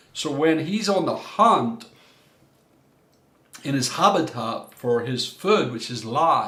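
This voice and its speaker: A man speaks very slowly at a fairly high pitch, with long, frequent pauses and very wide pitch swings. Audible room echo and noticeable background noise surround him. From Ireland. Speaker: coach and former minister. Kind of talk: workshop talk.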